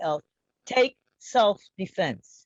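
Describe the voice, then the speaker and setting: In an American accent, a woman speaks very slowly at a medium pitch. The sound is dry and close, with no echo. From upstate New York. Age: 80s+. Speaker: activist, reverend. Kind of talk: panel discussion.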